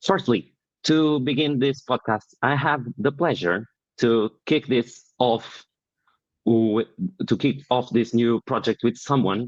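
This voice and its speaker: With a Portuguese accent, a man talks fairly slowly at a medium pitch, his loudness very even and his pitch varying in an ordinary way. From Portugal. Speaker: podcast host. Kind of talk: interview.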